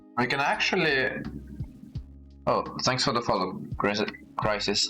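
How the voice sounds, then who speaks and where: Over music in the background, a man speaks at a fairly slow pace with very even loudness. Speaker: streamer. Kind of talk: casual live-stream chat. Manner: halting, many fillers and restarts.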